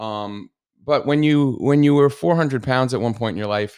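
A man talks with a New Jersey accent and ordinary pitch variation. The recording is very clean, with a silent background. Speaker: podcast host. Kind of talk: casual solo podcast chat. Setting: home studio. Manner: animated, talks with hands, humorous.

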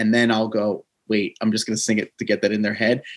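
A man at a very fast pace with a New Jersey accent, quiet background behind him. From New Jersey, US Northeast. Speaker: podcast host. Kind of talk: casual chat and interview. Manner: usually loud and hyped, mellow today.

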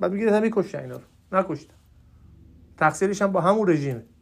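In an Isfahan accent, a man speaks with an animated tone at a high pitch with ordinary variation. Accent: Najafabadi (Isfahan) accent, still present. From Iran, Najafabad. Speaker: podcaster, political commentator. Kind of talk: solo monologue, political commentary. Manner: animated, exasperated.

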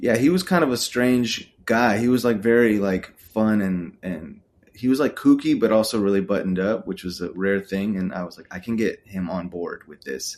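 Hardly pausing, a man with an American accent and an unremarkable speaking voice talks at a moderate pace and a fairly low pitch, with lively intonation and big swings in loudness. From Texas, Austin. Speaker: photographer and director. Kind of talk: casual interview chat.

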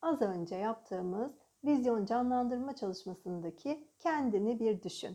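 A woman speaks at a fairly slow pace in a fairly high pitch, her dark, mellow tone carried by lively intonation. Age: 30s. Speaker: life coach. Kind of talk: guided coaching podcast.

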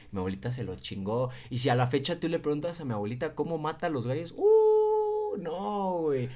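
With hardly any pauses, an ordinary speaking voice moves at a moderate pace with lively intonation. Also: man, fairly high pitch for a man. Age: 20s. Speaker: podcast co-host. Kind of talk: casual chat.

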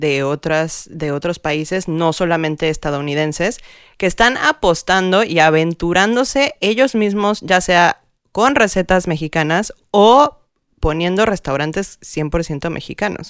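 A woman with a fairly low pitch and lively intonation speaks at a very slow pace on a very clean recording with a silent background. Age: young. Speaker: podcast co-host. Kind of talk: casual chat.

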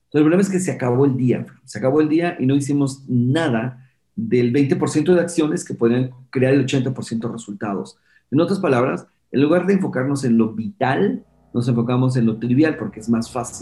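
A somewhat breathy male voice at medium pitch and moderate pace, with ordinary pitch variation. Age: 50s. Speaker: entrepreneur and productivity specialist. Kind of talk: interview.

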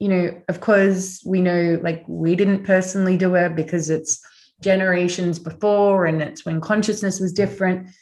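The speaker uses fairly even intonation with an Australian accent. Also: woman. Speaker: author, spiritual teacher. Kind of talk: casual chat. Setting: video call.

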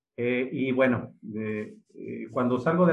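A man's medium-pitched voice with a Mexican accent. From Mexico, Aguascalientes. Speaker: sports psychologist. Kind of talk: interview. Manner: halting, many fillers.

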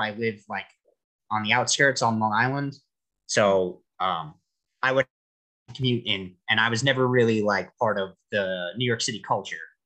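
A man with an American accent speaks at a medium pitch and a moderate pace, in a bright, sharp tone with ordinary pitch variation. His speech has long, frequent pauses. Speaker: Japanese language student. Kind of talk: casual interview.

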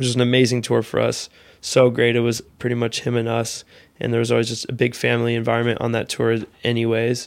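A man talks at a very fast pace with an American accent. His medium-pitched voice is monotone and flat. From Seattle, US Pacific Northwest. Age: 30s. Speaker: music band manager. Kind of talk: casual chat. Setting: studio.

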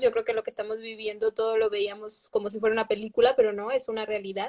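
Her intonation fairly even, a woman talks in a normal speaking voice that sits fairly high in pitch. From Mexico. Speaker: livestream host. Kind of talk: casual interview. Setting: livestream.

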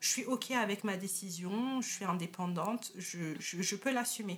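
A woman's voice comes across as somewhat breathy. Her pitch varies in an ordinary way. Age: young. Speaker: podcast host. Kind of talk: interview.

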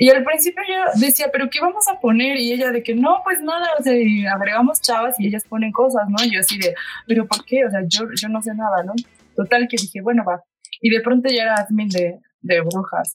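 A woman speaks at a high pitch and a fairly quick pace, her pitch swinging very widely. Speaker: podcast co-host. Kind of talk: casual chat.

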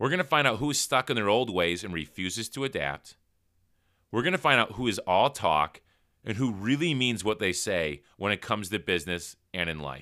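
In a loud, animated voice with an American accent, a man speaks at a moderate pace, his bright, sharp tone carrying vocal fry and very wide pitch swings on a very clean recording with a silent background. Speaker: entrepreneurship podcast host. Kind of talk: solo motivational talk.

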